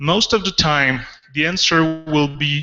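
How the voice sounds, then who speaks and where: This man's voice is fairly high in pitch. He talks at a fairly slow pace. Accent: French Canadian. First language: French. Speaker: developer advocate. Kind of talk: conference talk. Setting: auditorium with audience. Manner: animated.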